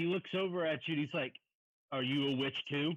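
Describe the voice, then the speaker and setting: A man's put-on character voice, fairly high in pitch and fairly quick in pace. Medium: actual play. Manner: blunt, accusing.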